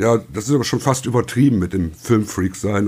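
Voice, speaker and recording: A man with a plain, everyday voice speaks at a moderate pace. His pitch is fairly low. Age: 50s. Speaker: podcast guest, newspaper deliverer. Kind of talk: casual chat.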